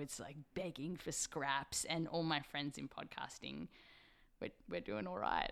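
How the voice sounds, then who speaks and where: The tone is bright and sharp, with an Australian accent. The pace is fairly slow. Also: woman. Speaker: science podcast host. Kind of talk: casual interview. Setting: remote recorded call.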